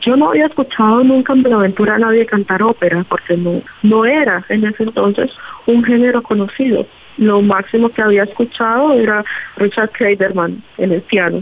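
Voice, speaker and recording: Here a woman with a normal speaking voice talks at a moderate pace and a fairly high pitch, with ordinary pitch variation and very even loudness. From Colombia, Pacific coast (Buenaventura). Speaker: opera singer. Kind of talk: interview.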